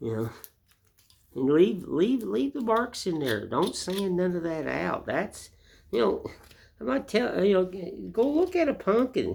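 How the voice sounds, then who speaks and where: The speaker is a man with an Appalachian accent. He talks at a fairly slow pace. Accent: US Southern (Appalachian). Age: 60s. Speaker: woodcarver. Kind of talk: casual monologue; tutorial. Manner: casual, repetitive with fillers.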